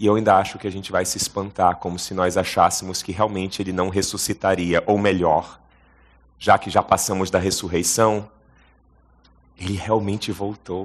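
A very deep, low male voice with monotone, flat intonation and big swings in loudness, over a quiet background. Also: moderate pace. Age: 40s. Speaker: pastor. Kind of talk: sermon. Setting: stage with audience.

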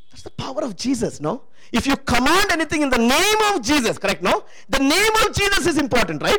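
Someone talks at a fairly quick pace in an animated tone, with noticeable background noise behind them. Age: 60s. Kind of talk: sermon.

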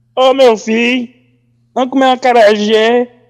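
This man uses a put-on character voice pitched extremely high, at a moderate pace. His intonation stays monotone and flat. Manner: exaggerated, mocking.

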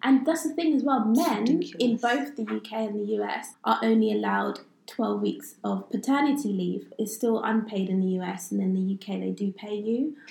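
Somewhat breathy, this voice moves along at a moderate pace with lively intonation. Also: woman, fairly high pitch for a woman. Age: 20s. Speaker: podcast co-host. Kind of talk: casual chat.

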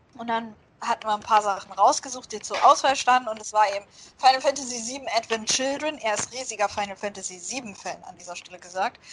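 An unremarkable speaking voice runs at a fairly quick pace with ordinary pitch variation. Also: woman. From Germany. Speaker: podcast co-host. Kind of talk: casual chat.

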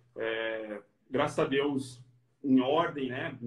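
Monotone and flat, a man speaks in a medium pitch, somewhat breathy. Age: 30s. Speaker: physical education professional. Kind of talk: interview. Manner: casual.

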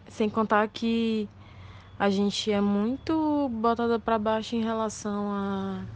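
A woman's fairly high voice at a very slow pace, with fairly even intonation and a quiet background. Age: 20s. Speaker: bartender. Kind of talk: voice message testimony.

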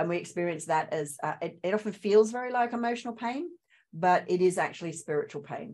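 A woman with a slight Australian accent talks at a fairly quick pace. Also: medium pitch for a woman, lively intonation. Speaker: spiritual coach and trauma recovery trainer. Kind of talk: interview, personal story.

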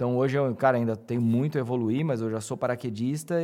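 A man's plain, everyday voice at medium pitch, fairly quick pace, very clean recording with a silent background. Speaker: audiovisual producer and speaker. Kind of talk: casual interview.

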